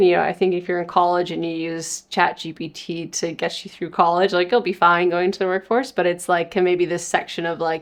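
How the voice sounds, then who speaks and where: In a normal speaking voice, a woman with a Canadian accent talks at a fairly low pitch, with big swings in loudness. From Canada, Winnipeg, Manitoba. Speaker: tech startup founder. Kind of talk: interview. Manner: casual, filler-heavy.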